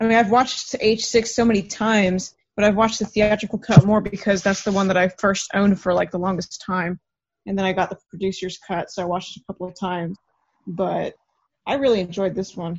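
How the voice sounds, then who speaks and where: Somewhat breathy, a woman speaks at a medium pitch with fairly even intonation and big swings in loudness. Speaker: horror fan guest. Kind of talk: casual chat. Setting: video call.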